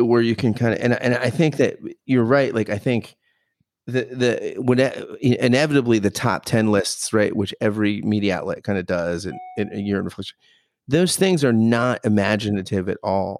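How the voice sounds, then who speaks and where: A man speaks at a moderate pace with an American accent, his pitch medium and its variation ordinary. It is a plain, everyday voice. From United States. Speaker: podcast co-host. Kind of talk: casual chat.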